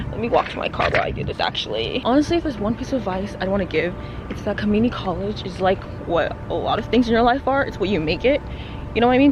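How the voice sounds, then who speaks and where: The delivery is very fast. Background music plays throughout. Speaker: vlogger. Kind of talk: casual vlog monologue. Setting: outdoors, walking to car. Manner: animated.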